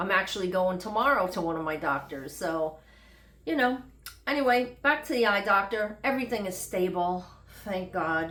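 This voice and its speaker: With audible room echo around her, a woman in a New York accent speaks at a moderate pace and medium pitch with lively intonation. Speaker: health vlogger. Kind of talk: casual vlog monologue. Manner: unscripted, conversational.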